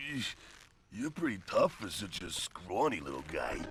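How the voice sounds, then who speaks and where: A man uses a put-on character voice at a medium pitch with very wide pitch swings. His pace is moderate. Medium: video game. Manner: boastful, thuggish.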